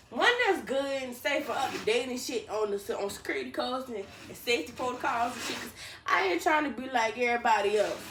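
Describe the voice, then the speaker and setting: At a very fast pace, a high-pitched woman talks with lively intonation, amid audible room echo and noticeable background noise. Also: big swings in loudness. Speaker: vlogger. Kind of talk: casual vlog monologue. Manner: mumbling.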